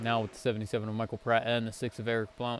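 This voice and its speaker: Medium pitch from a male speaker, with noticeable background noise behind him. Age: 20s. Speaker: sim racing commentator. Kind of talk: live commentary. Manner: animated.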